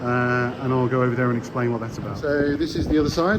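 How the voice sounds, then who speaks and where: Against noticeable background noise, a man with a Birmingham accent speaks with ordinary pitch variation. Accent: Birmingham (Brummie). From Birmingham, England. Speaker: distillery staff giving site tour. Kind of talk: walking site tour voice-over. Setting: outdoors construction site with background noise. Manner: casual, conversational.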